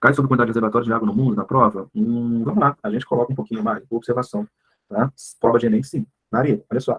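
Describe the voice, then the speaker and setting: Male voice at a medium pitch, very fast pace, ordinary pitch variation. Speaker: biology teacher. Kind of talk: online class lecture. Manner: casual, animated.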